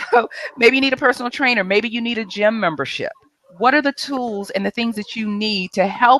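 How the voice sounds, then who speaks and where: A woman's fairly high voice comes across animated, recorded with a dry, close sound and no echo. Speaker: mindset coach. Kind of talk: tips presentation on live video show. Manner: fast.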